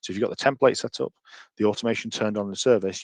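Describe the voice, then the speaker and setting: A man with a British accent, fairly low pitch, fairly even intonation and a very fast pace, in dry, close sound with no echo over a quiet background. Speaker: software trainer. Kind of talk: webinar demonstration. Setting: online webinar.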